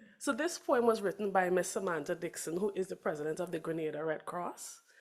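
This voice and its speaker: A woman with a Trinidadian accent talks at a very fast pace. Her voice sits at medium pitch with ordinary pitch variation. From Trinidad and Tobago. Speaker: Red Cross representative. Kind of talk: conference remarks.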